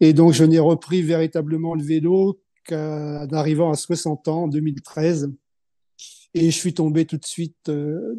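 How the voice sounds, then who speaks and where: Against a quiet background, a man with a dark, mellow tone talks at a fairly slow pace in a monotone, flat intonation, the sound dry and close with no echo. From Normandy, France. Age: 70s. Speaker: retired long-distance cyclist. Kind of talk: podcast interview. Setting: video call. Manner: hesitant, many fillers.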